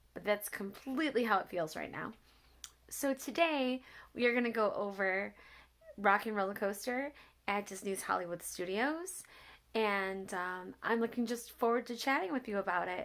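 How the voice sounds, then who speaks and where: On a very clean recording with a silent background, a woman speaks at a moderate pace in a fairly high pitch with ordinary pitch variation. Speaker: accessibility travel vlogger. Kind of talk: casual review chat. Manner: mumbling.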